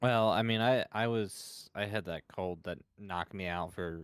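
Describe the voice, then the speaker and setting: The speech moves at a fairly slow pace. The recording is very clean with a silent background, and the sound is dry and close with no echo. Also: man. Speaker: gamer, content creator. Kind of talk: casual chat. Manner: subdued, low energy.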